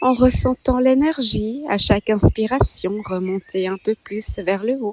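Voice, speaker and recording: At a very slow pace, a woman speaks in a calm tone with a fairly high pitch. Her pitch varies in an ordinary way, and the sound is dry and close with no echo. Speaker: meditation guide. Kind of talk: guided meditation. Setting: birdsong in background. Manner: slow, calm.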